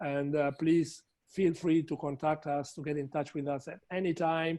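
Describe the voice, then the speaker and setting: Against a quiet background, a man speaks at a moderate pace in a dark, mellow tone. His pitch is fairly high and his intonation fairly even. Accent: Italian. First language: Italian. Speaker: trade promotion representative. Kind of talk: webinar closing remarks. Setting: online webinar.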